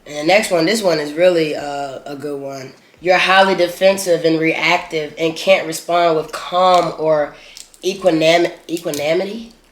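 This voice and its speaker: Noticeable background noise sits behind a man speaking at a moderate pace. His pitch is fairly high and his intonation fairly even. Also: big swings in loudness. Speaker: mukbang vlogger. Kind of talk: casual chat.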